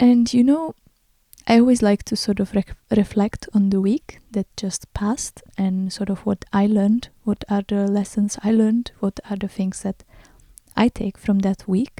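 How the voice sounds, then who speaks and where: Somewhat breathy and dark, mellow in tone, a woman speaks at medium pitch and a fairly slow pace with fairly even intonation, in a dry, close recording with no echo. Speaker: podcast host and artist. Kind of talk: unscripted solo podcast talk. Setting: home recording in front of window. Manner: hesitant, many fillers.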